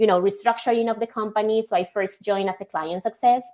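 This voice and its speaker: Fairly even in intonation, a woman speaks with a Spanish accent. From Colombia. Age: young. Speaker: logistics software executive. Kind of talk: podcast interview.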